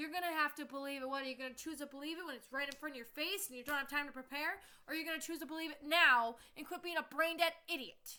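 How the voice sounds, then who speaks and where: Shouting in a raised, projected voice, a woman with an American accent talks at a very fast pace, her high pitch bright and sharp in tone with ordinary pitch variation. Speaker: vlogger. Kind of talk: angry rant to camera. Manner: loud, yelling.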